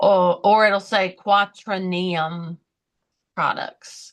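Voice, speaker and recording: A woman speaks with a Southern US accent. Her pace is very slow. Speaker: podcast co-host. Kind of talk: casual chat.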